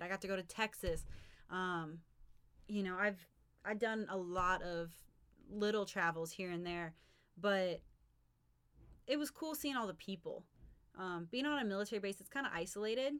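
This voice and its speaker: A woman's bright, sharp voice with an American accent at medium pitch, fairly quick in pace with long, frequent pauses and ordinary pitch variation. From Oklahoma, US. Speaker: podcast host. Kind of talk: casual chat.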